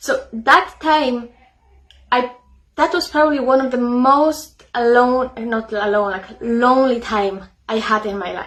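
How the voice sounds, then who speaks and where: A woman's high-pitched voice comes at a fairly slow pace. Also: ordinary pitch variation. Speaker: psychotherapist and author. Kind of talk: casual talk to camera. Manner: halting, many fillers.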